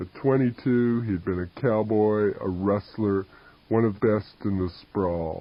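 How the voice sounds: The speaker reads aloud in a natural voice.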